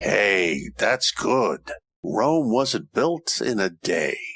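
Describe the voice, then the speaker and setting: Using a put-on character voice, a man speaks at a very slow pace. His voice is raspy and medium in pitch. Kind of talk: comedy radio play with detective narration.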